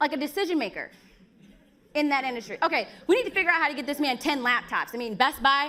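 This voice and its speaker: A raised, projected voice with an American accent, bright and sharp in tone, animated, with lively intonation at a very fast pace. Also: woman, high pitch for a woman. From Chicago, South Side. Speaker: event host. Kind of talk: event hosting and speaker introductions. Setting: stage with live audience.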